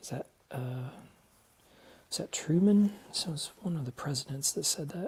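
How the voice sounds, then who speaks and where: A man with a fairly high pitch speaks somewhat breathily, leaving long, frequent pauses. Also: lively intonation, moderate pace. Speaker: husband learning to sew. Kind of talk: casual chat. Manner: quiet, almost whispering when concentrating. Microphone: volume turned up because he speaks quietly.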